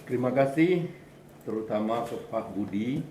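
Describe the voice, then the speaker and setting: A man talks fairly slowly with lively intonation. Room echo is audible, along with noticeable background noise. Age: 70s. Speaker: activist and former journalist. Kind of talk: speech at community meeting.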